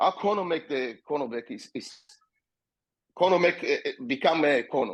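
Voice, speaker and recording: Speaking at a moderate pace with long, frequent pauses, a man uses lively intonation and a high pitch in an Israeli accent. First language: Hebrew. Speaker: MMA fighter and promoter. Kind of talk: podcast interview.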